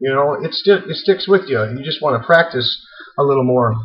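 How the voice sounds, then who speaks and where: A man talks at a fairly quick pace with lively intonation. He has an ordinary speaking voice. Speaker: auctioneer and auctioneer trainer. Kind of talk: instructional tutorial to camera. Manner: casual, friendly, conversational.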